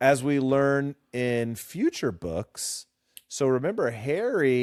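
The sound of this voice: Over a quiet background, an unforced reading voice keeps a fairly even intonation.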